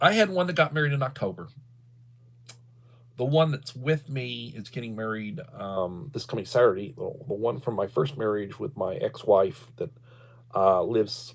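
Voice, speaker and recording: Man with a Texas accent at medium pitch, somewhat breathy, lively intonation, moderate pace. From Texas, Victoria. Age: 60s. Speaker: livestreamer, retired school principal. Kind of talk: casual livestream chat. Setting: livestream.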